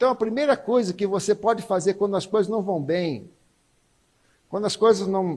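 A man's high-pitched, animated voice with a Brazilian accent, on a very clean recording with a silent background. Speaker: guest preacher. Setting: church, evening service with congregation. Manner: animated, emphatic, repetitive for effect, rising and pleading tone.

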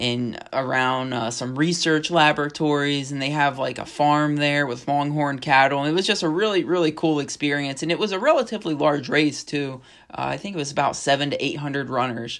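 Heard on a very clean recording with a silent background, a man with an ordinary speaking voice and an American accent talks at a fairly quick pace with hardly any pauses, his pitch fairly high with ordinary variation. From northwestern Pennsylvania. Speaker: podcast co-host, fitness studio owner. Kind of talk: casual chat.

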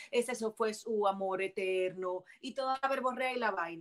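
This speaker has a Puerto Rican accent. The pitch varies in an ordinary way. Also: woman. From Puerto Rico, Bayamón. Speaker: actress and comedian. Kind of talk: casual chat. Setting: video call.

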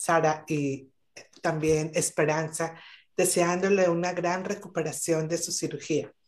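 A woman at a fairly slow pace, her pitch fairly low and her intonation fairly even. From Colombia. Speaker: business owner. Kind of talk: live interview. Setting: video call.

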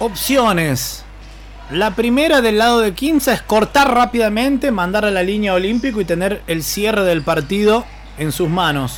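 Over noticeable background noise, a man speaks in a high pitch with lively intonation. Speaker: basketball play-by-play commentator. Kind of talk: live sports commentary. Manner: excitable, rising intensity in the final minute.

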